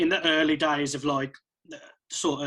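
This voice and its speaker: A man's fairly high voice in an English Midlands accent, with monotone, flat intonation. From central England. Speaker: electronic music producer and DJ. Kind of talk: casual chat.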